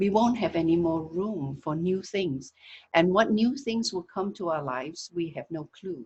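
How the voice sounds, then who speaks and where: A woman speaks at a moderate pace with a fairly low pitch, a somewhat breathy quality and lively intonation. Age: 60s. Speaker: wellness teacher. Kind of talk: talk on a video call. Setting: video call.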